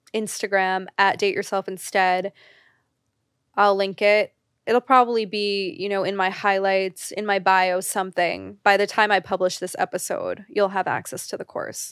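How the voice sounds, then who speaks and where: This woman has an ordinary speaking voice, medium in pitch and fairly even in intonation, at a moderate pace. The recording is very clean with a silent background and a dry, close sound with no echo. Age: 30s. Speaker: podcast host. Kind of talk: solo monologue. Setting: video podcast recording.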